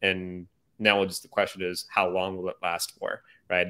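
This recording is very clean, its background silent. Words come at a fairly quick pace. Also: man. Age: 30s. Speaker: marketing agency CEO. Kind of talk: casual chat.

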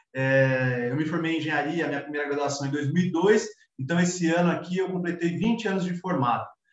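Amid audible room echo, a man speaks fairly quickly at a fairly high pitch. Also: ordinary pitch variation. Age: 40s. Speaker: civil engineer. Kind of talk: casual interview.

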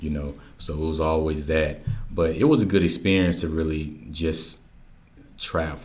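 A very deep, somewhat breathy male voice in a flat monotone, moderate in pace with long, frequent pauses and audible room echo. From Georgia, US (military upbringing). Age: young. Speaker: community educator and workshop facilitator. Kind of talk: interview conversation.

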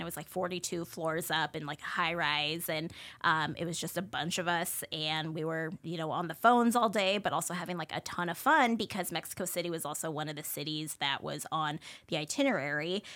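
With an American accent, a woman speaks at a moderate pace with hardly any pauses. Her fairly low voice has a bright, sharp tone, in a very clean recording with a silent background. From US Pacific Northwest, Spokane. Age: 30s. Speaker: food influencer. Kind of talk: casual chat.

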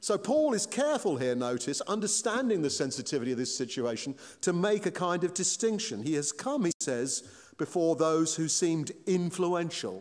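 This man has a high pitch and a British accent. His pitch swings very widely at a moderate pace. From Britain. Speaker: pastor. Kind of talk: sermon.

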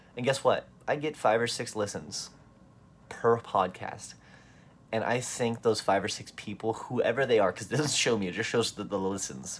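A man talks at a medium pitch, with ordinary pitch variation and a moderate pace. It is an ordinary speaking voice. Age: 20s. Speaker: magician and podcaster. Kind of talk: casual solo monologue.

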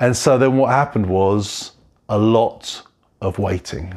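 A man speaks with lively intonation. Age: 40s. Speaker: pastor. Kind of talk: sermon.

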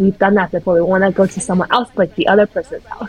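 Over noticeable background noise, a woman with a Canadian accent talks at a very fast pace, her medium-pitched voice keeping a fairly even intonation. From Vancouver, Canada (early childhood in Taiwan). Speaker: podcast co-host. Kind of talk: casual chat.

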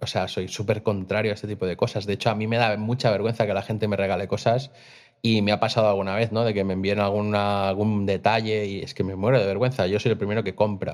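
The very clean recording has a silent background. A man talks very fast at a fairly low pitch in a monotone, flat delivery. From Costa Brava, Catalonia, Spain. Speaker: graphic designer and clothing brand owner. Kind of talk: casual interview. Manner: hesitant, many fillers and repetitions.

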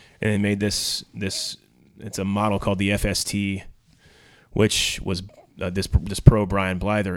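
A man talks in an ordinary speaking voice, pitched fairly low, at a moderate pace. The recording is very clean with a silent background. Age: 30s. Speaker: drummer. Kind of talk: casual chat.

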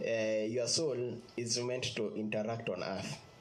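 Noticeable background noise sits behind a man's medium-pitched voice. He speaks at a fairly slow pace with fairly even intonation. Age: 30s. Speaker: lay preacher. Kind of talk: sermon. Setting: video call. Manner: halting.

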